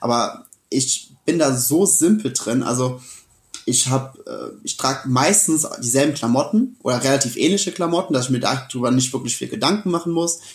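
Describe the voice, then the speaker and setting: This man's voice is fairly high and somewhat breathy. He talks at a moderate pace with lively intonation. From Germany, Westerwald (Rhineland-Palatinate). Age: 20s. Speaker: keynote speaker and coach. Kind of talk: casual interview. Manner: animated.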